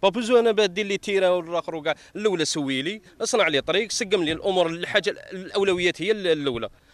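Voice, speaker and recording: Speech comes at a fairly quick pace with hardly any pauses and ordinary pitch variation. The sound is dry, with no echo. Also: man, high pitch for a man. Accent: Algerian. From Algeria. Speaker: local resident. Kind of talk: street interview. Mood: complaining, demanding services. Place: open country. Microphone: handheld.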